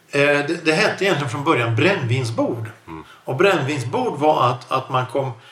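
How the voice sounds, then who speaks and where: Over noticeable background noise, a man with fairly high pitch talks at a moderate pace. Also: ordinary pitch variation. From Sweden. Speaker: podcast host. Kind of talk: casual chat.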